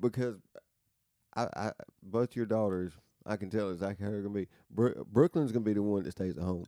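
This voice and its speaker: In a Southern US accent, a man speaks at a fairly quick pace and fairly low pitch with ordinary pitch variation and long, frequent pauses, the sound dry and close with no echo. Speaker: podcast co-host. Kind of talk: casual chat.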